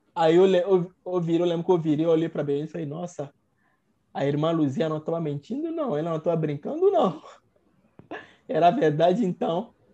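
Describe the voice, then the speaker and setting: The pace is fairly quick. Long pauses come often. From Togo (Lomé). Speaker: medical doctor. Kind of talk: interview storytelling. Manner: halting, repeats words.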